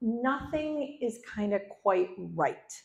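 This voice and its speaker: A woman's somewhat breathy, medium-pitched voice swings very widely in pitch. Audible room echo surrounds it. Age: 60s. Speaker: storyteller. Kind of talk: live storytelling performance. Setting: stage with audience.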